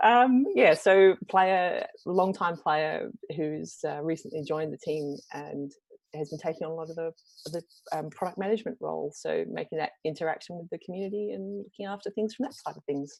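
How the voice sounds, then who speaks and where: A woman speaks in a fairly low voice with an Australian accent. Her intonation is lively, and her loudness swings widely. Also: moderate pace. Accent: Australian, noticeable. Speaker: product manager for a game. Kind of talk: live stream panel chat.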